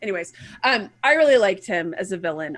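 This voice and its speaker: This woman speaks with an American accent. Her intonation is lively. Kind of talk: casual. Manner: casual drawl.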